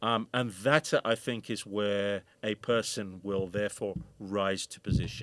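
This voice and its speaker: Fairly low in pitch with fairly even intonation, a man speaks at a fairly slow pace with big swings in loudness, in a dry, close sound with no echo. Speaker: film director and DJ. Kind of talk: interview conversation.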